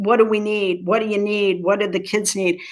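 American-accented woman's voice, quiet setting behind her. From US Midwest, southern Ohio (Appalachian foothills); Ohio. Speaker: nonprofit chief executive. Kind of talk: interview. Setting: video call. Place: home room. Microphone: webcam.

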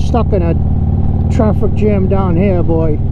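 Over loud background noise, a man with an American accent talks in a dry recording with no echo. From Florida, US (transplant). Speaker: motorcycle vlogger. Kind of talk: angry rant. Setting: riding motorcycle outdoors, helmet, wind noise. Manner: irritated, grumbling, sarcastic. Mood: grumbling, ranting. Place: motorbike.

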